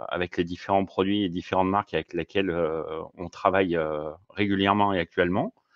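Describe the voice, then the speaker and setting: This man's voice is very deep and low. His intonation stays fairly even. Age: 50s. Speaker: fishing equipment advisor and fishing guide. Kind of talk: casual interview. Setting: podcast recording. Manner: halting, many hesitations.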